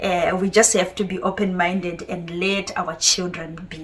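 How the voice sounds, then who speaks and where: Over noticeable background noise, a woman talks at a fairly slow pace, her medium pitch held in fairly even intonation. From Zimbabwe, raised in Harare. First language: Shona. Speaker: parent vlogger. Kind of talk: monologue to camera. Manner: hesitant, many fillers.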